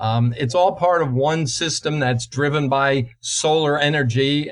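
This is a man with an American accent. He has a medium pitch and a plain, everyday voice. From New Jersey. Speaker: climatologist, professor. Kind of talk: interview.

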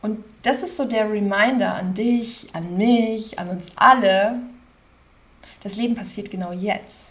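A woman's fairly high voice, somewhat breathy, at a very slow pace with long, frequent pauses, big swings in loudness and audible room echo. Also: ordinary pitch variation. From Germany, Cologne area (Rhineland). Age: 30s. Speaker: podcast host, life coach. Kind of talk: casual monologue. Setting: at her desk.

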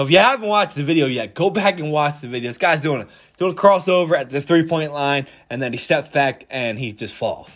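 With an American accent, the speaker talks at a fairly quick pace in an animated tone with lively intonation, in a very clean recording with a silent background. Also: man, fairly high pitch for a man. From Philadelphia, US. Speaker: sports podcast host. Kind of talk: solo sports commentary podcast. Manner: casual, animated.

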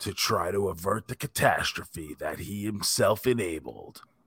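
A man puts on a character voice with a dramatic tone, moving at a fairly slow pace. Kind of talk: epic narration. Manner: dramatic, deep, portentous.

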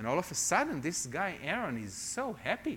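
In a very clean recording with a silent background, a man speaks in an Israeli accent with a bright, sharp tone. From Israel, Jerusalem. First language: Hebrew. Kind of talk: testimony sermon. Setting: church with congregation.

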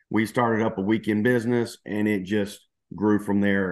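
In a Southern US accent, a man with a fairly low voice speaks at a moderate pace. His intonation is monotone and flat. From Louisiana, US South. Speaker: cancer survivor and entrepreneur. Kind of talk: testimony.

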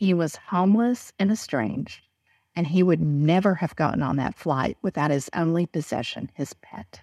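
A woman's fairly low voice with a Southern US accent, dark and mellow in tone, lively in intonation, at a moderate pace, with a quiet background and a dry, close sound with no echo. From Texas. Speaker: business executive and speaker. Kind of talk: interview.

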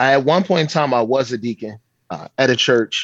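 A normal speaking voice from a man with an American accent, medium pitch and ordinary pitch variation, at a fairly quick pace, dry and close with no echo. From Baltimore, US. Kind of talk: casual interview. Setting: video call.

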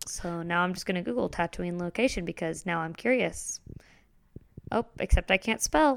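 Woman's fairly low voice, a plain, everyday voice, at a moderate pace with ordinary pitch variation, in a dry, close sound with no echo and a very clean recording with a silent background. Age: 20s. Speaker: podcast co-host, voice researcher. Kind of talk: casual chat.

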